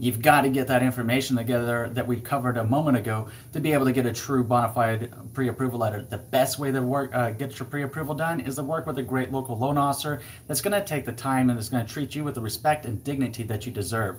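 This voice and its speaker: Somewhat breathy, a man talks at a very fast pace. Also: medium pitch for a man. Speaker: real estate agent. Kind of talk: live stream Q&A. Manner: animated.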